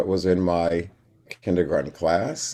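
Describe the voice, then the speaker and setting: Dark and mellow in tone, a man talks at a fairly slow pace with a very deep, low pitch. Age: 60s. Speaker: retired kindergarten teacher and musician. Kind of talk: casual interview.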